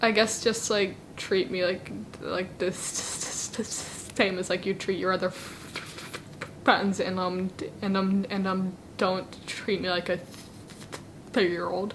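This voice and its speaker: A woman with an American accent, at a fairly slow pace and in a monotone, flat intonation, over noticeable background noise. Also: medium pitch for a woman. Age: 20s. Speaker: law student. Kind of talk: interview. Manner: halting.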